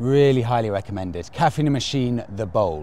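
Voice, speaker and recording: A man talks at a moderate pace and medium pitch with a dark, mellow tone. His pitch swings very widely. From southern England, St Albans, Hertfordshire. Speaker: motorcycle vlogger. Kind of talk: casual vlog narration.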